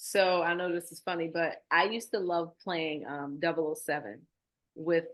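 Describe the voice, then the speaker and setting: A woman speaks with a Baltimore accent at a fairly slow pace. Her pitch is fairly low. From Baltimore, Maryland, US. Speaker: nonprofit founder. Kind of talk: interview.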